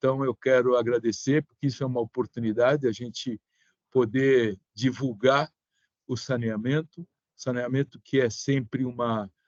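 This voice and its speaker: Medium in pitch, a man with an ordinary speaking voice talks at a fairly slow pace with fairly even intonation in a dry, close sound with no echo. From Brazil, São Paulo. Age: 60s. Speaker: sanitation engineer. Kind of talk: online seminar remarks.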